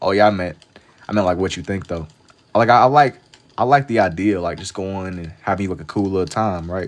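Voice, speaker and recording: With an American accent, a man speaks in a very deep, low voice at a fairly quick pace, his pitch varying in an ordinary way while his loudness swings widely. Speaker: live-streaming artist. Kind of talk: casual livestream chat while drawing. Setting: TikTok live stream.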